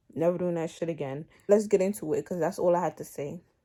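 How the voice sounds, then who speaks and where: A woman speaks at a medium pitch with ordinary pitch variation. Her tone is animated. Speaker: vlogger. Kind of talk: casual rant to camera.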